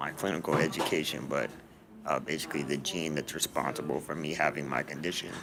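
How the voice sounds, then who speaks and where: Talking at a fairly quick pace, a man with a very deep, low pitch keeps a monotone, flat intonation over noticeable background noise. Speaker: vlogger with a neuromuscular condition. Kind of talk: personal video diary. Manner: halting, many fillers.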